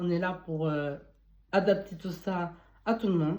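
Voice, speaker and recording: A woman speaks at a very slow pace in a dark, mellow tone. Her pitch is fairly low, with ordinary variation. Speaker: beauty and wellness advice youtuber. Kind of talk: casual advice monologue. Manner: halting, with false starts.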